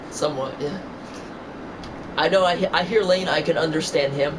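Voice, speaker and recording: A high-pitched man with an American accent, heard with audible room echo and noticeable background noise. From New York. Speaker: gamer streamer. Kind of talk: casual chat.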